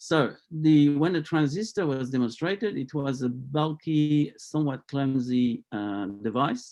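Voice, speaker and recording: A dark, mellow tone at a fairly slow pace, with lively intonation and hardly any pauses. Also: man, fairly high pitch for a man. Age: 70s. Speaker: engineer and scientist, energy technology inventor. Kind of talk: interview. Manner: hesitant, many filler sounds.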